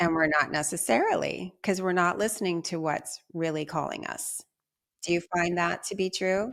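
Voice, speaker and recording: A plain, everyday voice at a moderate pace with ordinary pitch variation, in a very clean recording with a silent background. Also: woman, fairly low pitch for a woman. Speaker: podcast host and self-confidence coach. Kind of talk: casual interview chat.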